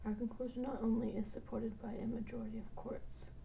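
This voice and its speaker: A soft-spoken woman talks at a moderate pace. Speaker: bedtime reading host. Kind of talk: sleep reading of a law textbook. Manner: soft, monotone.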